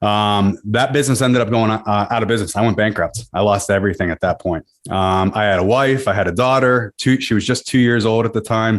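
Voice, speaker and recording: Over a silent background in a very clean recording, a man talks fairly quickly in an ordinary speaking voice, his pitch fairly low, his intonation fairly even and his loudness very even. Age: 40s. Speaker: real estate investor. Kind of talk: interview.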